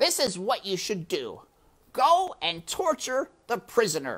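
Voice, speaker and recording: A put-on character voice, raised and projected, with very wide pitch swings. It moves at a fairly slow pace. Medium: read story. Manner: sneering, instructive.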